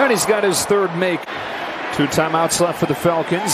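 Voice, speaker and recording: A man speaks in a high voice with an energetic tone. Background noise is noticeable throughout. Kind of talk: live play-by-play commentary. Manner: energetic, staccato delivery.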